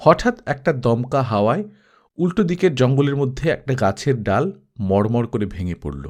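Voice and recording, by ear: In a natural voice, someone reads a text aloud.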